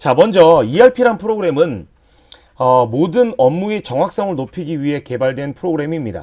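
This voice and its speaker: This man's pitch rises and falls across a very wide range. His delivery moves at a moderate speed. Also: fairly high pitch for a man. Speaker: staff trainer. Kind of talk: tutorial.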